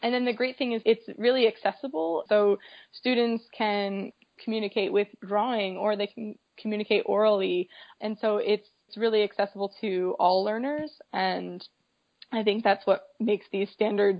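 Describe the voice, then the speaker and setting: Using a normal speaking voice, a woman of medium pitch talks at a moderate pace in a General American accent. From Colorado. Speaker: kindergarten teacher. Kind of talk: casual interview.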